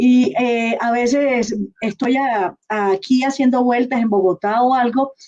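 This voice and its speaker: The speaker has a Colombian coastal accent. The pace is very slow. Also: woman, high pitch for a woman, fairly even intonation. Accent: Colombian coastal accent, kept. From Colombian Caribbean coast. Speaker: interviewer. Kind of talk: live online interview.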